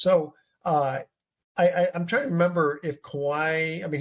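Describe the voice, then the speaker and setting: A man speaks somewhat breathily, his pitch varying in an ordinary way. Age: 60s. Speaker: sports talk show host. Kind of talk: casual chat. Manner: halting.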